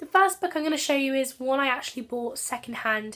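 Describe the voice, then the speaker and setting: A woman speaks at a fairly quick pace in a Channel Islands accent. Her high-pitched voice has a bright, sharp tone and lively intonation. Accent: British (Channel Islands). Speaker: book vlogger. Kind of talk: casual vlog.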